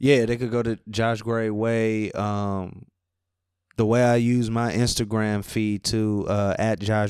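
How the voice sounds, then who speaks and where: A man's fairly low voice, very slow and flat in a monotone. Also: very clean recording, silent background. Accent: New Orleans. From New Orleans, Louisiana (Ninth Ward). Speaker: rapper. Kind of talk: interview. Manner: casual.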